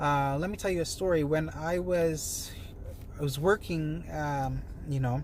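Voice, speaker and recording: Audible room echo surrounds a man whose fairly high pitch carries fairly even intonation. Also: fairly slow pace. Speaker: wellness and money-tips vlogger. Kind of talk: casual to-camera talk. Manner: soft-spoken; hesitant, many fillers.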